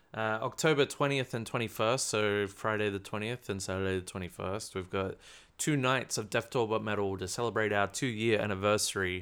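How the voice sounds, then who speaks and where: On a very clean recording with a silent background, a man of fairly low pitch speaks at a moderate pace. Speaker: podcast host. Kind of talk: casual chat. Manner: animated, jokey.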